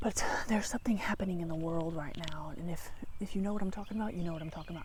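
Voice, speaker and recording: Audible room echo surrounds a voice delivered at a very fast pace. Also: woman. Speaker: spiritual vlogger. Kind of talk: casual vlog monologue. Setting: outdoors by a tree. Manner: rambling, hesitant with fillers.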